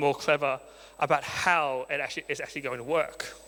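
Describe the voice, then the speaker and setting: A man speaks with an Australian accent. His tone is bright and sharp. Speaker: marketing agency founder, conference speaker. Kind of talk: conference talk. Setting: stage with audience.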